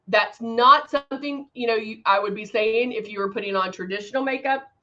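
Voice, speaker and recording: A woman with an ordinary speaking voice talks at a fairly high pitch with ordinary pitch variation. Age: 50s. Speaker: makeup tutorial livestream host. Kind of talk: live makeup tutorial. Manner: casual and chatty.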